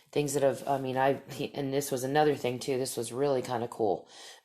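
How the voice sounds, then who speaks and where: A woman with a very deep, low pitch speaks loudly. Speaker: podcast host and storyteller. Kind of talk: casual monologue.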